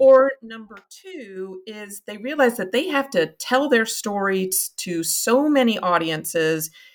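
A woman with a Kentucky accent speaks with lively intonation in a very clean recording with a silent background. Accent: Kentucky Southern US, noticeable. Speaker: marketing agency founder. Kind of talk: interview conversation.

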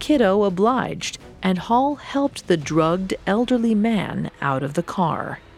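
Speaking fairly slowly with hardly any pauses, a woman at medium pitch makes very wide pitch swings over music in the background. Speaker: podcast narrator. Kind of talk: true-crime narration. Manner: grave, measured storytelling delivery with dramatic, steady pacing.

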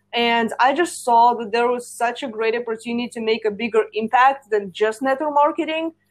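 A woman with a high voice speaks at a fairly quick pace with hardly any pauses. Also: ordinary pitch variation. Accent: Russian. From Russia. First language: Russian. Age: 20s. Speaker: social media and marketing coach. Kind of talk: casual chat. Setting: remote call.

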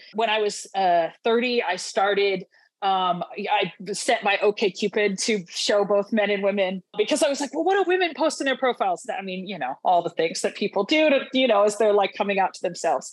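Here is a woman with a plain, everyday voice and an American accent. She speaks at a moderate pace and medium pitch with lively intonation. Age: 30s. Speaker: chaplain. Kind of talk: casual interview conversation.

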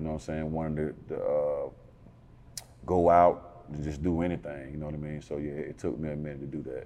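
Amid noticeable background noise, a man with an American accent speaks in a very deep, low voice with monotone, flat intonation and hardly any pauses. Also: fairly quick pace. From Atlanta, northwest side. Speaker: rapper. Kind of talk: interview. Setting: studio. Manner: laid-back, conversational.

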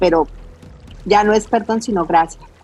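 A woman speaks at medium pitch against noticeable background noise. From Colombia, Cali. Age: 40s. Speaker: army reserve officer and beauty pageant contestant. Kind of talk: interview conversation.

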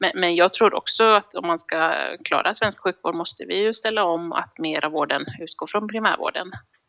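The tone is bright and sharp, with lively intonation at a moderate pace. The sound is dry and close, with no echo. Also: woman, medium pitch for a woman. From Gotland (Visby). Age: 30s. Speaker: general practitioner. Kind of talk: casual interview.

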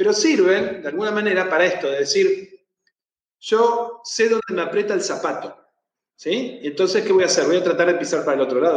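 A man talks at a very fast pace in a Rioplatense accent. His intonation is lively. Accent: Argentine Rioplatense Spanish. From Argentina. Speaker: therapist. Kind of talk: interview on anxiety management. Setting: live video stream.

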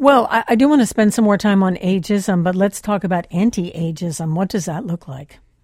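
Speaking at a fairly quick pace with hardly any pauses, a woman with an American accent sounds somewhat breathy and uses lively intonation. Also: medium pitch for a woman. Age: 70s. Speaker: radio host. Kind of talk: radio interview. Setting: studio.

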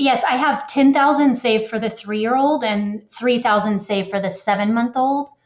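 With hardly any pauses, a woman talks at a fairly slow pace in a fairly high pitch with ordinary pitch variation and an ordinary speaking voice. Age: 30s. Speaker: caller seeking financial advice. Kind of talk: call-in advice conversation. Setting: phone call.

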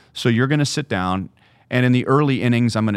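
A man speaks with an American accent and ordinary pitch variation. The recording is very clean, the background silent. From Southern California. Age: 50s. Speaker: baseball broadcaster. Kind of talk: casual interview.

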